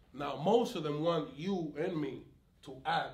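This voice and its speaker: A man talks with ordinary pitch variation over audible room echo. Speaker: community activist with police conflicts. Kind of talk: interview conversation. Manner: loud; animated, sometimes shouting.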